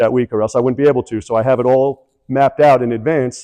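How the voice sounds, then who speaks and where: A man with an American accent speaks at a very fast pace, his pitch fairly high and his tone dark and mellow. The sound is dry and close, with no echo. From New York. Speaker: real estate investor, keynote speaker. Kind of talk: keynote presentation. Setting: stage with audience.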